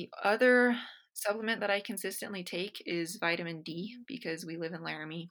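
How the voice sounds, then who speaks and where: A woman talks at a fairly quick pace with a medium pitch and ordinary pitch variation, recorded very cleanly against a silent background. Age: 20s. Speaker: fitness coach and nutrition student. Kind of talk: interview. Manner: hesitant, many ums.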